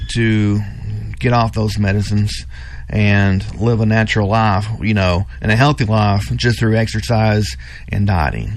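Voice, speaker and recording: A man with a fairly low pitch speaks against noticeable background noise and audible room echo. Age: 40s. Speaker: gym owner. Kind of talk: radio interview.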